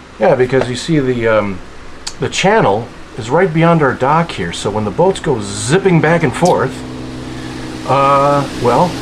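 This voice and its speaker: Noticeable background noise and audible room echo accompany a voice with an American accent, lively intonation and a fairly slow pace. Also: man. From US Upper Midwest, Minnesota. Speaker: podcast co-host. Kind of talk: casual chat.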